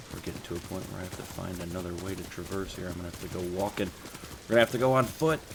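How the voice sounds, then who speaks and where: A man talks at a very fast pace in a very deep, low voice with ordinary pitch variation. His loudness swings widely over noticeable background noise. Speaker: gaming youtuber. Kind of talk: gameplay commentary. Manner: casual, animated.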